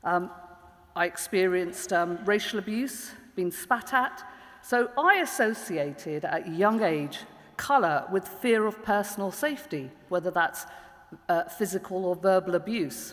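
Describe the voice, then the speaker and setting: Noticeable background noise sits behind a woman speaking in a London accent. Her pitch is medium, her pace fairly slow, and her intonation lively. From East London, England. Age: 40s. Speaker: public prosecutor and diversity lead. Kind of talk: panel talk.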